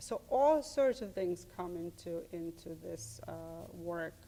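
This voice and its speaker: A woman with a Serbian accent. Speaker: art professor. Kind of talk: interview. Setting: studio. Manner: halting.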